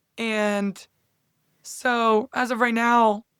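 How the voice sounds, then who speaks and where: A fairly high-pitched woman with an American accent, on a very clean recording with a silent background. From US South, Charlotte. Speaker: college basketball player. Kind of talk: interview. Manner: animated.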